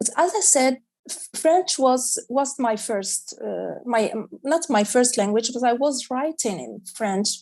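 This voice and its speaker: With an Arabic accent, a woman speaks fairly slowly in a high pitch, with lively intonation, hardly any pauses and big swings in loudness. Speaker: children's author. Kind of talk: panel discussion. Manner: halting.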